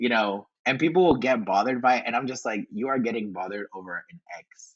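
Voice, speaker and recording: Very fast and animated, a man's medium-pitched voice makes big swings in loudness. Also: ordinary pitch variation. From Northern Virginia, US. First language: Spanish. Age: 20s. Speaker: content creator. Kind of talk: casual chat. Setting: podcast interview.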